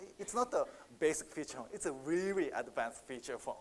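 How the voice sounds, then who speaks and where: A man speaks with a Japanese accent. His pace is moderate. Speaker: market researcher. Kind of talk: conference Q&A answer. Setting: conference stage with audience. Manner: halting.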